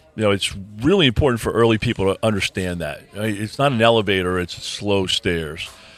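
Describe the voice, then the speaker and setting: Fairly quick speech from a man, pitched fairly low, with ordinary variation in pitch amid noticeable background noise. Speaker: podcast host. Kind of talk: casual interview chat. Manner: halting with repeated words.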